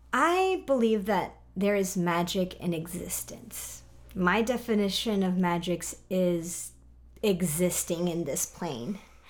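This woman's pitch is in the medium range. She speaks at a very slow pace. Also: ordinary pitch variation. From Mexico, San Miguel de Allende. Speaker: graphic designer and product business co-owner. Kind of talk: casual interview chat.

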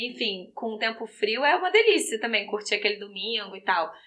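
A woman in a Rio de Janeiro accent, fairly high-pitched and bright and sharp in tone, with lively intonation at a moderate pace. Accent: Rio de Janeiro (carioca). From Brazil, Rio de Janeiro. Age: 30s. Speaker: fashion graduate, Brazilian immigrant. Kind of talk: casual chat. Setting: in person in a room with hosts.

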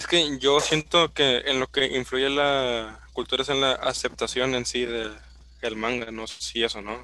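A man with a Mexican accent speaks at a fairly slow pace, his tone bright and sharp and his intonation fairly even. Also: medium pitch for a man. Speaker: podcast co-host. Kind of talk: casual chat.

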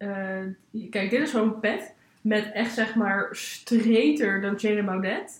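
A woman speaks very slowly at a fairly high pitch. Her intonation stays fairly even. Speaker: podcast co-host. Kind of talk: casual chat.

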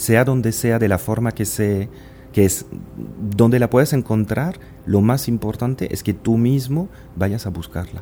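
Music plays in the background as a man speaks with a French accent at a medium pitch. His pace is fairly slow, his pitch variation ordinary, and his pauses long and frequent. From France, small village. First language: French (speaking Spanish). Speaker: business executive. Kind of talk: interview.

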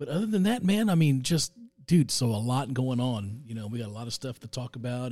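Somewhat breathy, a man speaks with a dark, mellow tone. His pace is moderate. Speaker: rock radio host. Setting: studio, live radio show. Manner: laid-back, chatty, jokey, laughs often.

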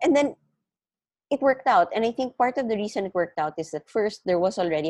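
A woman with a Filipino accent, animated tone and very wide pitch swings, in a dry, close sound with no echo. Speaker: business founder. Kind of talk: casual interview chat. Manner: animated, code-switching Taglish.

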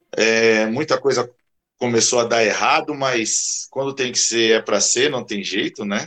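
A man's medium-pitched voice, bright and sharp in tone, at a fairly slow pace with fairly even intonation. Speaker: karate instructor. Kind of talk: casual chat.

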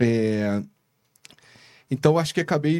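A man is speaking. His pace is moderate. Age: 30s. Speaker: investment fund founder. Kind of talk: casual chat.

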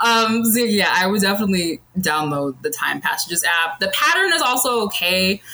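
A woman's voice with lively intonation, very even loudness, hardly any pauses, and noticeable background noise. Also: medium pitch for a woman, moderate pace. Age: 30s. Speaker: astrology enthusiast with psychology degree. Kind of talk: casual chat.

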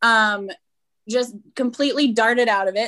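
A woman's bright, sharp voice, fairly high in pitch, with ordinary pitch variation and a Canadian accent. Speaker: golf professional. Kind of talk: casual chat.

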